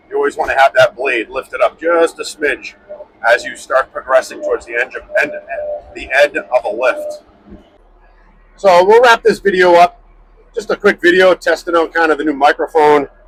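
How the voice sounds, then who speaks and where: A man speaks at a moderate pace with long, frequent pauses. The sound is dry and close with no echo, though noticeable background noise is present. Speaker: heavy equipment operator and channel host. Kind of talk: casual tutorial while operating a dozer. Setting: inside a dozer cab. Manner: loud.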